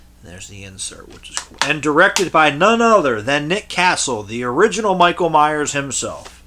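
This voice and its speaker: A man speaks, neither fast nor slow. Background noise is clearly noticeable. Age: 30s. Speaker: collector video host. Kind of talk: casual collection overview. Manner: casual, rambling with fillers.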